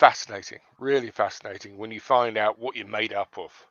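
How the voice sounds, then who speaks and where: Speaking with a Surrey accent, a man keeps a medium pitch and fairly even intonation. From London, England. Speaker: online seller. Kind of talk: casual chat.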